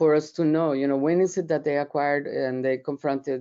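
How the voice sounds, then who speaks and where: Here is a woman with a Colombian accent. Her pitch is very deep and low. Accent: Colombian Spanish accent, noticeable. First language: Spanish. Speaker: professor. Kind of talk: webinar presentation. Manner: hesitant, many fillers and repeats.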